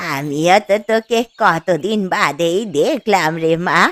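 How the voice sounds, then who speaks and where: A woman speaks at a fairly slow pace in a cartoonish character voice, her pitch fairly low and its variation ordinary, with a dry, close sound and no echo. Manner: gentle, motherly.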